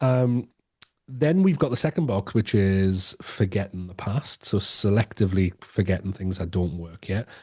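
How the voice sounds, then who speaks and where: A man with an English accent, fairly low in pitch with a dark, mellow tone, at a moderate pace against a quiet background. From England. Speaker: education strategist and author. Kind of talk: podcast interview. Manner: hesitant, many repetitions and fillers.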